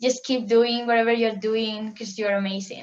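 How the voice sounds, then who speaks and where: A woman speaks with a strong Spanish accent. Her pitch is fairly high. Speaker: international student guest. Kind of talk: casual interview.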